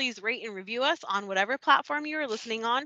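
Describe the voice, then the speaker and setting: A woman with a high pitch speaks in an American accent, her tone bright and sharp, her pitch variation ordinary, and the sound dry and close with no echo over a quiet background. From Texas. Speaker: podcast co-host. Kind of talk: scripted outro; casual chat.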